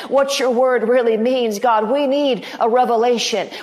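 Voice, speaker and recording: A woman speaks with a high pitch at a fairly slow pace. Noticeable background noise runs underneath. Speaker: pastor. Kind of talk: fervent prophetic prayer, pleading intercession addressed to God. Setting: online broadcast. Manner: impassioned, repetitive pleading cadence building in intensity; warm, chatty and upbeat when addressing viewers.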